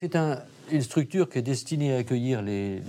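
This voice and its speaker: A man's dark, mellow voice with lively intonation at a moderate pace. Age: 70s. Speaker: retired doctor. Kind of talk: interview. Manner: halting.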